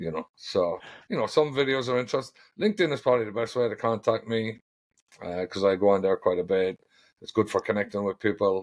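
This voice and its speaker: A very fast delivery with an Irish accent and ordinary pitch variation, dry and close with no echo, against a quiet background. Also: man, medium pitch for a man. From Ireland. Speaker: ironworker foreman and steel detailer. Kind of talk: podcast interview. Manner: casual, hesitant with fillers.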